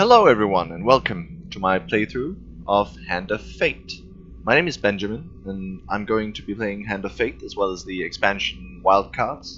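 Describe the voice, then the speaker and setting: Music plays in the background as a man speaks at a fairly low pitch. His intonation is lively and his loudness swings widely. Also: moderate pace. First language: not English. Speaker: gaming video creator. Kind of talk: let's play commentary.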